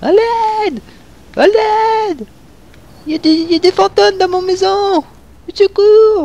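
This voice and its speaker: This is a put-on character voice pitched extremely high. It moves at a very slow pace with long, frequent pauses. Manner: mocking, exaggerated cry for help.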